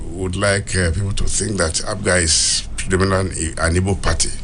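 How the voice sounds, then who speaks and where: Against noticeable background noise, a man talks at a moderate pace, his fairly low pitch showing ordinary variation. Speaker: politician. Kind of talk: radio interview answer.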